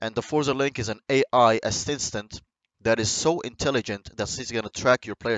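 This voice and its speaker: A man with a non-native accent at a fairly quick pace. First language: not English. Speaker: gaming YouTuber. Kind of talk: video game commentary. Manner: halting.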